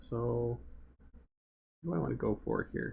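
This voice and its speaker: Soft-spoken and mumbling, a man talks. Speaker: game developer and livestreamer. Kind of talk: live stream drawing commentary. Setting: live stream. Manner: soft-spoken, mumbling; casual, thinking aloud.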